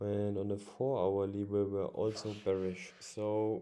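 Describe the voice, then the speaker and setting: Very slowly, a man talks in a dark, mellow tone. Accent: non-native. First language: not English. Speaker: forex trader. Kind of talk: casual tutorial. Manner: halting, many fillers.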